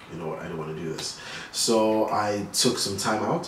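A man's fairly low-pitched voice with audible room echo and light background noise. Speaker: guest. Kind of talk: interview answer. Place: home room.

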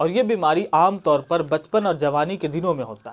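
Fairly slow, high-pitched male speech with ordinary pitch variation. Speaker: educational channel host. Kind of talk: explainer talk to camera. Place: home room. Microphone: phone near.

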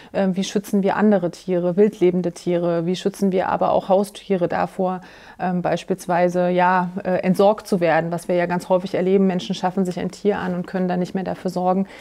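Her tone dark and mellow, a woman talks at a fairly quick pace with monotone, flat intonation over a quiet background. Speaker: politician interviewee. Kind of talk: interview answer. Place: studio. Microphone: lapel.

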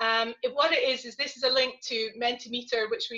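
This is a woman with a high-pitched voice. Her tone is bright and sharp. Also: quiet background. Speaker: panel moderator. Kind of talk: panel moderation. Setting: video call. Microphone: video call.

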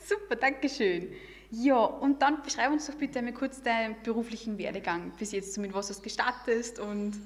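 A woman with a fairly high voice talks at a moderate pace, her pitch varying in an ordinary way. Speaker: podcast host. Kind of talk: casual interview. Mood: friendly, cheerful. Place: meeting room. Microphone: studio mic.

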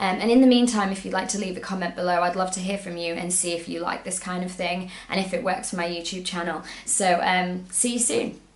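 A woman talks with hardly any pauses, and audible room echo surrounds her voice. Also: fairly quick pace. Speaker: travel blogger and YouTuber. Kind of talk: motivational pep talk to camera, timed at 60 seconds. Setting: video recorded to camera, solo. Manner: upbeat, encouraging, earnest; brisk, timed, direct. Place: home room.

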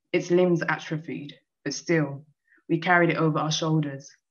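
A woman with a very deep, low pitch at a moderate pace against a quiet background. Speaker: poet. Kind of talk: poem reading. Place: home room. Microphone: video call.

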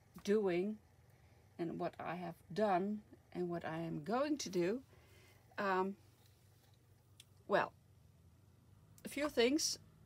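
A woman talks at a very slow pace with ordinary pitch variation. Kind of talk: casual vlog chat. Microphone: phone near.

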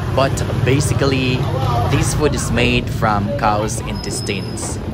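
With music in the background, the speech moves at a very slow pace. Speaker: travel vlogger. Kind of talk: casual vlog chat. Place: street. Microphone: phone near.

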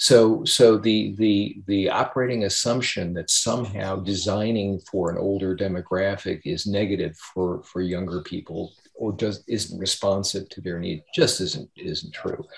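Fairly low-pitched, somewhat breathy male speech with an American accent, fairly slow with hardly any pauses, ordinary pitch variation and a quiet background. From United States. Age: 60s. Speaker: aging think tank chair; speaker. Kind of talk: moderated discussion. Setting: video call. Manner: halting, many repetitions. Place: home room. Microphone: webcam.

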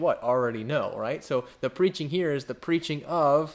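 Lively intonation runs through the speech. The speaker is a man. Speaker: Bible study teacher. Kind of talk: sermon. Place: home room.

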